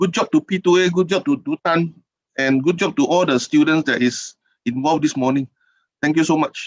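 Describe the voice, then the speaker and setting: A man with a Singaporean accent talks at a fairly quick pace and a high pitch, recorded dry and close with no echo. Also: lively intonation. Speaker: keynote speaker, regional official. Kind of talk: keynote address. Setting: online webinar. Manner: fast.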